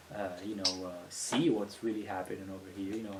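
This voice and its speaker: A man rattles along at a very fast pace with an Italian accent. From Italy, Venice. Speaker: music industry entrepreneur. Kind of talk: podcast interview.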